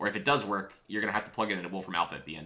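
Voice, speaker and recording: A man talks at a very fast clip in an animated tone. Noticeable background noise and audible room echo fill the recording. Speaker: physics teacher. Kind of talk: lecture. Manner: casual, animated.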